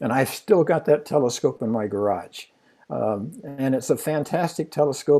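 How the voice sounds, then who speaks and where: Speaking at a moderate pace, a man with a dark, mellow tone keeps a medium pitch with ordinary pitch variation. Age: 80s+. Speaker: amateur astronomer. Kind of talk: storytelling in a livestream Q&A. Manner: halting.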